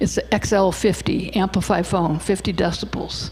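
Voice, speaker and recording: Against noticeable background noise, a woman speaks at a medium pitch. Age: 60s. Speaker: hearing loss advocate speaker. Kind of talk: presentation talk. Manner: casual, conversational.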